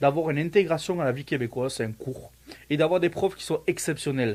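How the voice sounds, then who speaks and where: An unremarkable speaking voice talks at a fairly quick pace with lively intonation. The recording is very clean with a silent background. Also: man. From France. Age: 30s. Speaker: student, immigrant, former soldier. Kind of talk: casual interview. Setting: Facebook live.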